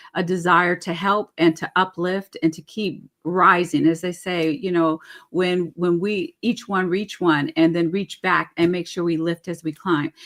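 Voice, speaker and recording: A woman in an ordinary speaking voice, fairly low in pitch, at a fairly slow pace with fairly even intonation. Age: 60s. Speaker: webinar host. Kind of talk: webinar panel moderation.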